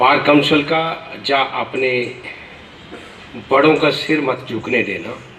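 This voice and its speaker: Against noticeable background noise, a man with a Punjabi accent speaks with ordinary pitch variation and long, frequent pauses. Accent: Punjabi-tinged Hindi. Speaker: senior lawyer addressing new advocates. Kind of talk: formal speech to an audience.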